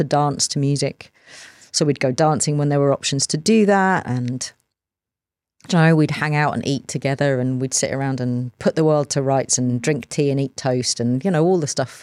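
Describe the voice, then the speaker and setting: A woman at a fairly quick pace, with ordinary pitch variation, in a very clean, dry, close recording with a silent background and no echo. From southern England (Sussex). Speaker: university academic. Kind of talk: casual interview conversation.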